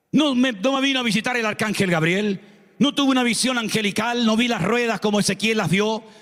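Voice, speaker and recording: An animated tone at a fairly quick pace. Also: man, high pitch for a man, ordinary pitch variation, very even loudness. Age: 60s. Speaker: pastor. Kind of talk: sermon.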